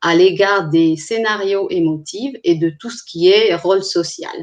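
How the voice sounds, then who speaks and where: In a non-native accent, a woman speaks at a very slow pace. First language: not French (speaking French). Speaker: clinical psychologist. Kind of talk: online presentation. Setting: live stream. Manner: hesitant, with frequent fillers.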